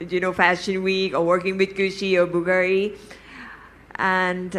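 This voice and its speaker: A woman speaks with a Thai accent. Her pitch is medium. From Thailand. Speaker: fashion celebrity on a panel. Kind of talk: panel talk. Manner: halting.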